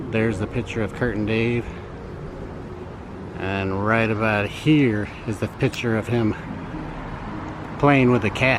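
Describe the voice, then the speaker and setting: A man at medium pitch, fairly slow and fairly even in intonation, with long, frequent pauses and noticeable background noise. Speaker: YouTuber, travel vlogger. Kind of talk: vlog tour narration. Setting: rented apartment, indoors and outdoors.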